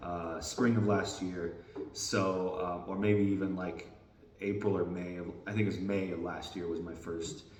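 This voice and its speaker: Over noticeable background noise and audible room echo, a man with a very deep, low pitch speaks at a fairly slow pace in a monotone, flat intonation. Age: 40s. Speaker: disc golf vlogger. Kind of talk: casual vlog update. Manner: hesitant, many fillers.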